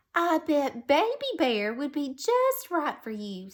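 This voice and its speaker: A woman uses a put-on character voice that is high, raised and projected, moving at a fairly slow pace with very wide pitch swings. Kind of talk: bedtime story. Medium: read story. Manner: warm, gentle.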